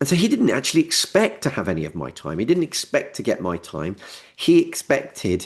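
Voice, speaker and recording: A man at a moderate pace, with vocal fry. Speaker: business coach. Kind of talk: webinar presentation. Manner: halting.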